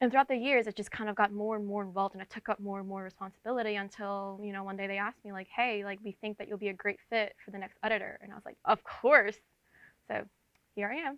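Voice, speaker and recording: Energetic in tone, a woman speaks very fast with big swings in loudness. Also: medium pitch for a woman, dry, close sound with no echo. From New York tri-state area. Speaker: entertainment editor. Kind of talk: interview. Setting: video shoot with camera crew.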